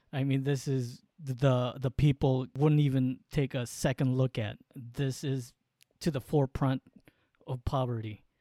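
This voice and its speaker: In a dry, close recording with no echo, a man speaks at a medium pitch in a dark, mellow tone with monotone, flat intonation. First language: Waray. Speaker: podcast co-host. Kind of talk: casual chat. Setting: remote call from San Diego.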